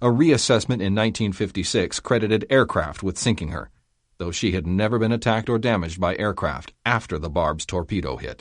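A man with a plain, everyday voice speaks at a fairly low pitch and a moderate pace. His intonation is lively, and the background is quiet. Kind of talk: audiobook reading of a history memoir, history documentary narration. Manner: steady, measured, formal.

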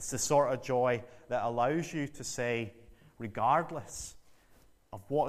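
A man speaks fairly slowly in a Northern Irish accent. Audible room echo surrounds his voice. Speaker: visiting preacher. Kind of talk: sermon.

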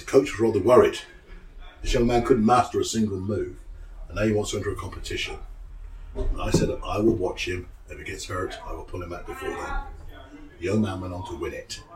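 With a Cornish accent, a man talks at a fairly quick pace, broken by long, frequent pauses, his loudness swinging widely over noticeable background noise. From Cornwall. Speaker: wrestling coach. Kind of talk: explaining, casual interview.

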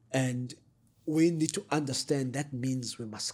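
Somewhat breathy, a man's medium-pitched voice holds a fairly even intonation. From South Africa, KwaZulu-Natal north of Durban. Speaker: political activist and analyst. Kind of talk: interview.

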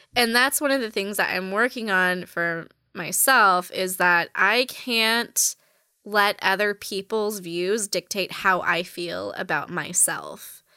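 A woman speaks at a very slow pace with a medium pitch. Her tone is bright and sharp, with ordinary pitch variation. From US West Coast, Orange County, California. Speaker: fashion designer. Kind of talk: casual chat.

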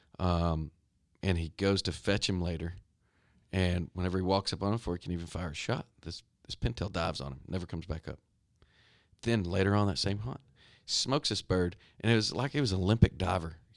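Speaking at a fairly quick pace yet with long, frequent pauses, a man with a Texan accent has a very deep, low voice, captured on a very clean recording with a silent background. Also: ordinary pitch variation. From Texas, Stephenville. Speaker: hunting guide. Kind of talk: casual chat. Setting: studio.

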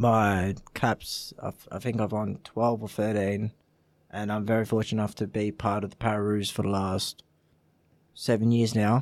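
Speaking at a moderate pace, a man with an Australian accent has a fairly low pitch. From Australia, Italian family. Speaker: para footballer. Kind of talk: casual chat.

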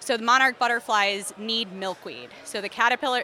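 A woman speaks at a fairly quick pace in a fairly high pitch, with noticeable background noise. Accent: American. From Philadelphia. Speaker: entomologist. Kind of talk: interview.

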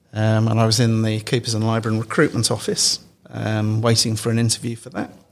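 The man's intonation is monotone and flat. He talks at a fairly quick pace. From England, Derby (East Midlands). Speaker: internal audit executive. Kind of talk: interview. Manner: hesitant, many fillers and repetitions.

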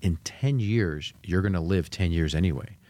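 Very deep and low, a man's voice moves with ordinary pitch variation. The recording is very clean, with a silent background. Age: 50s. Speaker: financial class coordinator. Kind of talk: casual chat.

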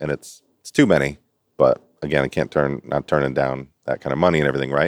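A man talks fairly quickly with vocal fry and a very deep, low pitch. His intonation is fairly even, and the sound is dry and close with no echo. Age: 40s. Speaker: personal trainer and business owner. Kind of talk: casual chat.

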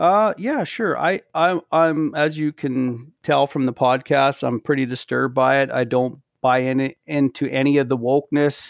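This man has a Canadian accent and an ordinary speaking voice, pitched fairly high. He talks at a fairly slow pace with hardly any pauses, in a very clean recording with a silent background and a dry, close sound with no echo. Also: ordinary pitch variation. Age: 40s. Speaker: podcast co-host. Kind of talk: casual chat.

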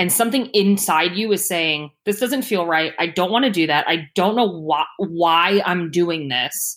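Captured in a very clean recording with a silent background, a woman with an ordinary speaking voice talks fairly slowly at a medium pitch with lively intonation. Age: 30s. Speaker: career coach. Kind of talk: interview.

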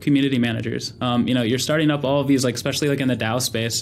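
In a room with audible echo, a man at a medium pitch talks at a very fast pace with fairly even intonation. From California, US. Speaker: venture capital investor and army veteran. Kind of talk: interview.

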